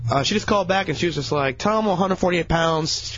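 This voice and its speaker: A man's intonation is lively, with background noise clearly present. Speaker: radio intern. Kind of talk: casual chat. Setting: studio.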